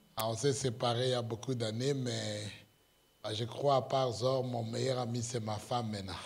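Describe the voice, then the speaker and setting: A somewhat breathy voice with fairly even intonation and audible room echo. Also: man. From Congo. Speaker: pastor. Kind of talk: sermon. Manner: halting, many hesitations.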